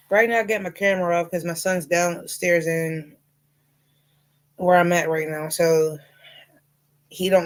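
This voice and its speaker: With a slight Southern US accent, a woman talks in a fairly low voice with fairly even intonation. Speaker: livestreamer and crocheter. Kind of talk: casual livestream chat. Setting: home livestream, camera off.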